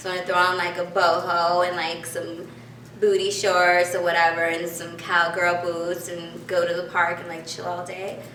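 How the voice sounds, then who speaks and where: With audible room echo and noticeable background noise, a woman at a fairly low pitch speaks in a monotone, flat way, her loudness swinging widely. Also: moderate pace. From Jamaica. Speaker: businesswoman. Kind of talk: interview. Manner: casual, many fillers.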